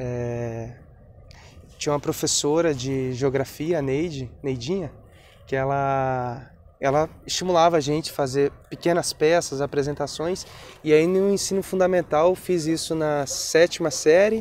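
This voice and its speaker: A man with an unremarkable speaking voice talks at a fairly slow pace and fairly high pitch, with ordinary pitch variation. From Brazil, Espírito Santo (rural Linhares). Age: 20s. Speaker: poet and actor. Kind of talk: documentary interview, personal life story. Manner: casual, conversational.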